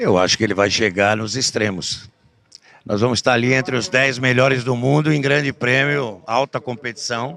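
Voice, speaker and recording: A man's medium-pitched voice shows ordinary pitch variation as he talks at a moderate pace. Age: 60s. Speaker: horse breeders' association president and auctioneer. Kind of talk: interview. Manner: halting, with fillers.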